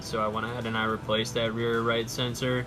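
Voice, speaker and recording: Over music in the background, a man with a fairly low pitch speaks at a moderate pace in a flat monotone. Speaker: DIY car repair presenter. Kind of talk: casual how-to talk. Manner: stuttering, stammering.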